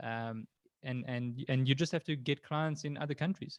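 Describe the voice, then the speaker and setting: A man speaks at a moderate pace with a medium pitch. His intonation is fairly even, and the sound is dry and close with no echo. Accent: American. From South Africa. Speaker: freelancer and interview host. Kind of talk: interview.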